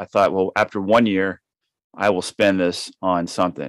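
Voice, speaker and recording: Dry and close with no echo, a man's fairly low voice comes across as an ordinary speaking voice. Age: 50s. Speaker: author and solo sailor. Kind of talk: interview conversation.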